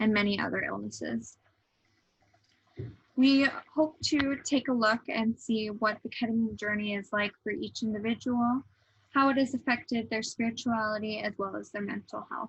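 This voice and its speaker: Somewhat breathy, a woman's voice sits at a fairly high pitch with fairly even intonation. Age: 20s. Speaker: student interviewer. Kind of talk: scripted narration.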